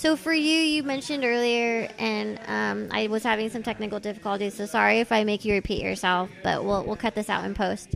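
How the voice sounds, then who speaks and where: A woman with an American accent talks at a fairly quick pace while music plays in the background. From Los Angeles, San Fernando Valley. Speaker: podcast host. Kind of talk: casual interview chat. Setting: tattoo shop, recorded while guest is being tattooed.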